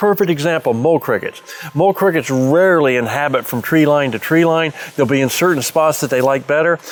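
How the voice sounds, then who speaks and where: Over noticeable background noise, a man talks at a fairly quick pace with fairly high pitch, ordinary pitch variation and very even loudness. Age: 70s. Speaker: turfgrass insect expert. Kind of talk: tutorial.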